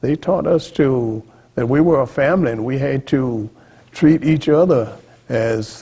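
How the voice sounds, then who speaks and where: A man talks in a Texan accent, his voice somewhat breathy. He keeps a moderate pace with lively intonation. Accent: Texan Southern US. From central Texas, Austin area. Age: 80s+. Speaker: Freemason lodge past master. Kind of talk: oral history interview. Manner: halting, self-correcting.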